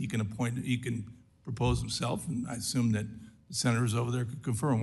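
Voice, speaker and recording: A man speaks very fast at a medium pitch, his voice somewhat breathy, with audible echo from the room. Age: 60s. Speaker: congressman. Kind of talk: congressional hearing questioning. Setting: committee hearing room. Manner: animated.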